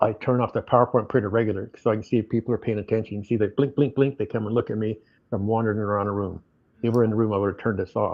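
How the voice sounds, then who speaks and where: Talking at a very fast pace, a man keeps a monotone, flat intonation at a medium pitch. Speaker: financial advisor. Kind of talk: business presentation.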